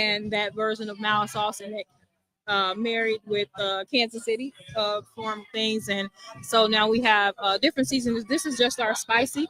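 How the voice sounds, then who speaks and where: Music plays in the background as a woman with an American accent talks at a moderate pace. Her fairly high pitch shows ordinary variation, and the sound is dry and close with no echo. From Chicago, US Midwest. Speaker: author and sauce business owner. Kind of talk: radio interview.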